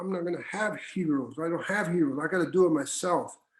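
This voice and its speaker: A man's voice with ordinary pitch variation. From Southern California, Mexican-American barrio. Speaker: retired university administrator. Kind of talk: panel interview. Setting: video call. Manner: halting.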